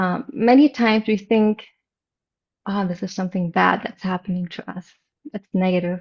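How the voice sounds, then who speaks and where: A somewhat breathy woman at a medium pitch speaks with long, frequent pauses. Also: ordinary pitch variation, moderate pace. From Germany. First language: German. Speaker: meditation teacher. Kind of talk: interview.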